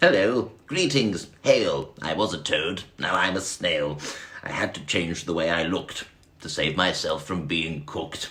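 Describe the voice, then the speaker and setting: Using a put-on character voice, a man speaks at a moderate pace in a very deep, low pitch. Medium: read story. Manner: cool and unflappable.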